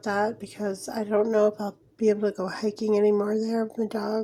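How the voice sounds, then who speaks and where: A woman's fairly high voice is heard with noticeable background noise. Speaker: mixed media artist. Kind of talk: casual talk to camera.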